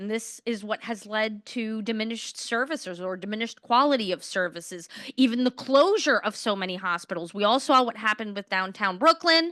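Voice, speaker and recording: A woman's loud, bright, sharp voice in a New York accent, with lively intonation, a fairly quick pace, hardly any pauses and a dry, close sound with no echo. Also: fairly high pitch for a woman. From Queens, New York City. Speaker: politician, mayoral candidate. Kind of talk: candidate forum answers.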